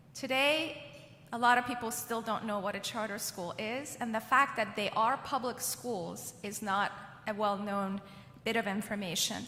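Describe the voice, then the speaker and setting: A woman with a fairly high pitch talks at a moderate pace and with ordinary pitch variation, noticeable background noise behind her. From Iran. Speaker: education advocacy leader. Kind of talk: keynote speech.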